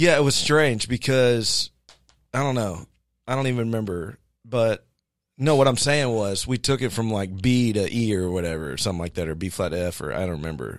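A man with a plain, everyday voice speaks at a fairly quick pace on a very clean recording with a silent background. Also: medium pitch for a man, lively intonation. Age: 40s. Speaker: worship ministry leader, podcast co-host. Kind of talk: casual chat. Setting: small office with sound panels.

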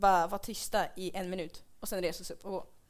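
Over audible room echo, a woman speaks in an animated tone at a moderate pace. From Dalarna, Sweden. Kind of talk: comedic live podcast chat. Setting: live stage with audience.

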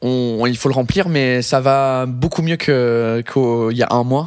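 A man speaks in an English accent. His pace is very slow, his pitch medium. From England. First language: English (speaking French). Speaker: comedian. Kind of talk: casual chat. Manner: halting.

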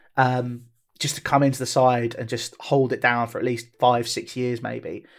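A man with a southern English accent. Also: very clean recording, silent background. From southeast England, Tunbridge Wells. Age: 20s. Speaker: football club owner. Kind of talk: casual chat.

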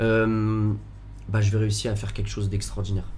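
Room echo is audible around the voice. A man talks at a moderate pace. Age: 20s. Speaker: business owner with chronic illness. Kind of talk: casual chat. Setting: in a bar.

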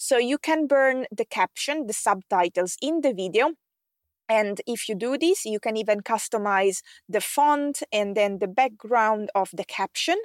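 In an Italian accent, a woman with a fairly high pitch and lively intonation speaks at a fairly slow pace, the sound dry and close with no echo on a very clean recording with a silent background. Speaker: podcast host and tech expert for online coaches. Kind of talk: solo podcast monologue, scripted-style tutorial.

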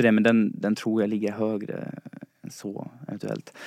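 The speaker is a man with a fairly low pitch and a dark, mellow tone. He keeps a moderate pace with monotone, flat intonation. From Dalarna, Sweden (Falun). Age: 20s. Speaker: listener, quiz contestant, student. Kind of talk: casual chat. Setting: studio.

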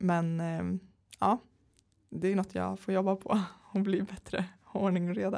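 In a monotone, flat delivery, a woman of medium pitch speaks at a moderate pace with long, frequent pauses. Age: 30s. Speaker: entrepreneur. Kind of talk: interview. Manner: hesitant with many fillers.

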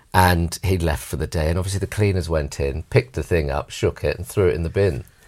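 Vocal fry and lively intonation in a man's very deep, low voice. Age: 40s. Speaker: actor and director. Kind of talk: casual chat.

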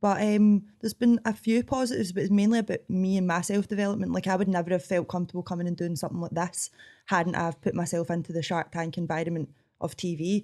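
Speaking at a very fast pace, a woman with a strong Scottish accent uses a medium pitch and ordinary pitch variation. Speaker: coffee shop owner and cooking show contestant. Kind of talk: interview conversation.

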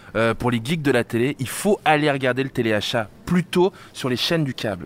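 This is a man with a normal speaking voice at a medium pitch. He talks at a moderate pace with lively intonation. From France, Normandy (Caen suburbs). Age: 30s. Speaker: guest. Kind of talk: casual chat.

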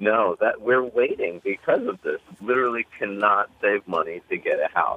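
Hardly any pauses break the speech of a man who keeps a moderate pace. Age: 30s. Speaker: caller. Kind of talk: call-in comment.

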